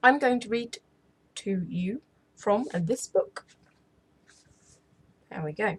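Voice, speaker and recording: Speaking with an English accent, a somewhat breathy woman with a fairly high pitch talks at a very slow pace with long, frequent pauses, lively intonation and big swings in loudness. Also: dry, close sound with no echo. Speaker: ASMR storyteller, channel host. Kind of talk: casual intro to camera. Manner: soft-spoken, friendly.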